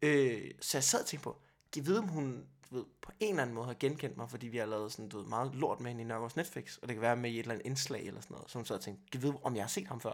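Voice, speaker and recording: A man with a medium pitch rattles along at a very fast pace, showing ordinary pitch variation. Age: 20s. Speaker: stand-up comedian. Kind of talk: casual chat.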